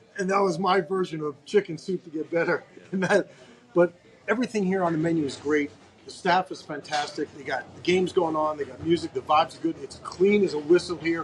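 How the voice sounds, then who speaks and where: Over noticeable background noise, a man talks fairly quickly in a high voice with fairly even intonation and big swings in loudness. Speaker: podcast host. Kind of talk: casual interview.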